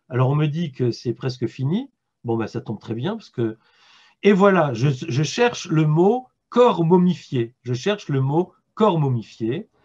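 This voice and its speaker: This man has a fairly high pitch and a somewhat breathy voice. He speaks fairly slowly, with very wide pitch swings. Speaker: philosopher and author giving a talk. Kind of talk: lecture. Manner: halting, with repetitions.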